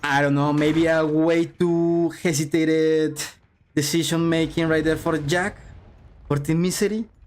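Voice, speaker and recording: At a moderate pace, a man with a non-native accent speaks at a fairly high pitch. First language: not English. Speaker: esports caster. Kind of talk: live commentary. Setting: livestream. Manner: animated; halting.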